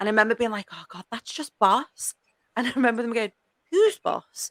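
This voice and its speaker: A woman with a strong Scouse accent talks at a fairly quick pace in a fairly high pitch, with ordinary pitch variation. Her loudness swings a lot, and the sound is dry and close with no echo. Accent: strong northern (Scouse). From Liverpool, northern England. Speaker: podcast host. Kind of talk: casual chat.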